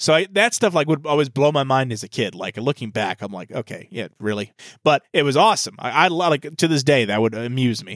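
A man with a plain, everyday voice speaks at a fairly high pitch, fairly quick and with hardly any pauses, with lively intonation in a very clean, dry, close recording with no echo and a silent background. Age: 30s. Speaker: podcast host. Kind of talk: casual chat.

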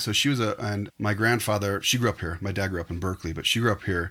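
A man speaks at a fairly quick pace with a West Coast US accent. The recording is very clean, with a silent background. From northern California. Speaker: photographer. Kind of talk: casual chat.

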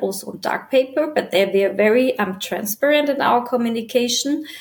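With a German accent, a woman speaks at a high pitch with lively intonation. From Germany. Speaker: business development manager at an art supply company. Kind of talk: interview.

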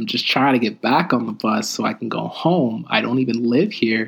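At a moderate pace and with hardly any pauses, a man speaks at medium pitch with ordinary pitch variation and vocal fry. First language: French. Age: 20s. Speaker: podcast host's son sharing experiences. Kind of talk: casual chat.

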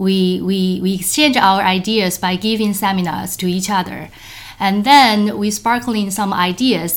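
Against noticeable background noise, a woman speaks at a moderate pace with a medium pitch and ordinary pitch variation. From Hong Kong. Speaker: engineering professor. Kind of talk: interview. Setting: recorded on site during a workshop break. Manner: halting, many fillers.

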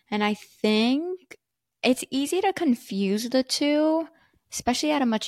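In a very clean recording with a silent background, a woman speaks very slowly with lively intonation, the sound dry and close with no echo. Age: 20s. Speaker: podcast co-host. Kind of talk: casual chat.

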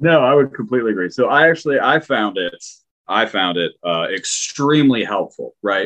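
A man's medium-pitched voice with vocal fry, lively intonation and a moderate pace. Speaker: podcast co-host, planner. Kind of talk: interview.

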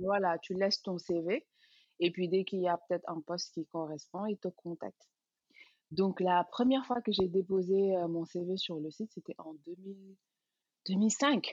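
A woman speaks at a fairly slow pace and a medium pitch, with ordinary pitch variation. Her long, frequent pauses come through in a dry, close sound with no echo. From Senegal, Dakar. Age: 30s. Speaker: cosmetics entrepreneur. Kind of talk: interview.

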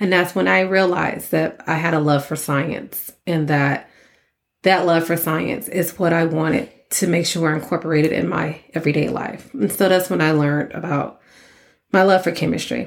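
A woman with an American accent, fairly low pitch and vocal fry, at a moderate pace, in a very clean recording with a silent background. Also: ordinary pitch variation. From Texas (Port Arthur, Austin). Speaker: chemical engineer and nonprofit founder. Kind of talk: podcast monologue. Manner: animated.

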